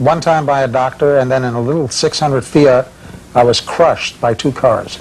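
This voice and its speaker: Noticeable background noise sits behind a man talking at a moderate pace. His medium-pitched voice keeps a fairly even intonation. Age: 60s. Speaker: bumper sticker designer. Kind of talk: casual chat.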